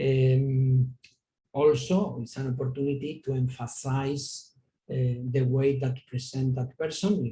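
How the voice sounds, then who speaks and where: A man with a Spanish accent speaks very slowly at medium pitch. His tone is dark, mellow and somewhat breathy, with fairly even intonation. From Spain. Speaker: palliative care physician. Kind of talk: lecture. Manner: halting.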